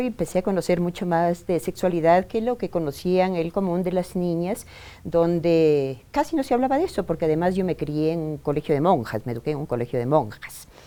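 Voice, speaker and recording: Her dark, mellow tone sits at a fairly low pitch as this woman talks at a fairly quick pace with lively intonation. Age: 60s. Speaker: women's rights activist. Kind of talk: interview testimony.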